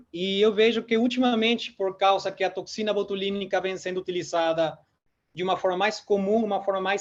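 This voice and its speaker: At a moderate pace, a man with a Peruvian accent speaks in a high voice with fairly even intonation. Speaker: dentist and lecturer. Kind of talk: lecture. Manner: hesitant fillers.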